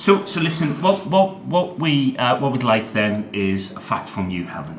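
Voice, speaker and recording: Very wide pitch swings mark this moderately paced voice, heard over noticeable background noise. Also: man. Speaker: podcast co-host. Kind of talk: casual chat.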